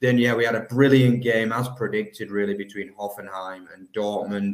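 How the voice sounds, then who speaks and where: A man speaks with an English accent. His medium pitch stays in a monotone, flat intonation. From England. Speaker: football podcast co-host. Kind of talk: casual chat.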